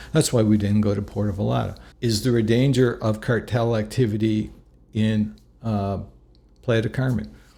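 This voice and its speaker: A somewhat breathy voice with a dark, mellow tone speaks at a moderate pace with fairly even intonation. The recording is very clean, with a silent background. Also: man, fairly low pitch for a man. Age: 60s. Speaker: travel vlogger. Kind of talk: casual monologue to camera. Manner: halting, with frequent restarts.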